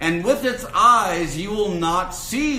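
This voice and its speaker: A man speaks loudly at a very slow pace. Audible room echo surrounds his voice. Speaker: minister teaching a spiritual course. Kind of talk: lecture. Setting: room with live audience.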